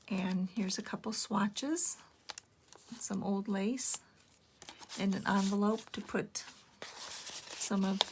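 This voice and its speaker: A woman speaks very slowly at medium pitch, her intonation fairly even. Noticeable background noise is present. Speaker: junk journal maker. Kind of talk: casual craft show-and-tell narration. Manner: low-energy; hesitant, many filler words.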